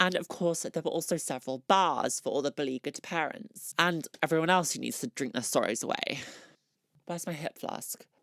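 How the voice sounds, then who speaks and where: A woman with a British accent and a fairly low pitch, fast-ish at a fairly quick pace, lively in intonation, with a dry, close sound and no echo. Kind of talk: comedic vlog narration.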